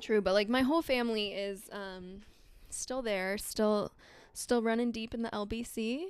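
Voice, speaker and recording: This speaker uses a Southern California accent, with ordinary pitch variation and a fairly slow pace. The recording is very clean, with a silent background. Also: woman, fairly high pitch for a woman. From Southern California, Long Beach. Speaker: podcast co-host, reiki practitioner. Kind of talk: casual chat. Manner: animated.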